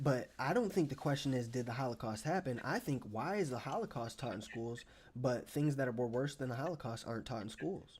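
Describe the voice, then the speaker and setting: Delivered at a fairly quick pace with hardly any pauses, the voice is animated in tone and somewhat breathy. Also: man, medium pitch for a man, ordinary pitch variation. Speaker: live streamer. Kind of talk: heated debate. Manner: fast.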